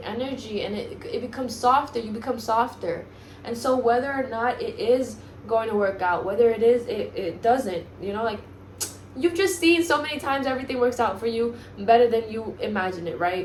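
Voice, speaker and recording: A woman with a Spanish accent, fairly high pitch and ordinary pitch variation, at a moderate pace, amid noticeable background noise and audible room echo. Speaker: self-help vlogger. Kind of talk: motivational monologue. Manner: halting, stumbles over words.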